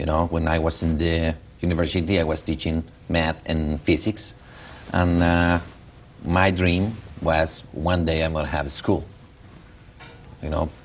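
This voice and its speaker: A man speaks with a Mexican accent in a very deep, low voice and flat monotone. Noticeable background noise runs underneath. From Mexico. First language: Spanish. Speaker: school founder and education publisher. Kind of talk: interview. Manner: halting.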